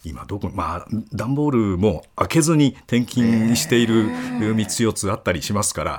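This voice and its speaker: A man's normal speaking voice, medium in pitch, at a fairly slow pace with lively intonation. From Okayama, Japan. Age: 60s. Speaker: sports announcer. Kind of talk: casual chat.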